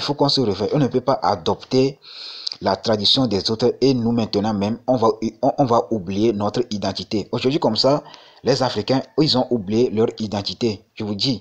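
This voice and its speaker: A man speaks at a moderate pace in a medium pitch, with ordinary pitch variation. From Togo. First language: Mina (Gen) (speaking French). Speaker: crypto YouTuber. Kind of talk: casual vlog monologue. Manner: halting, many repetitions and fillers.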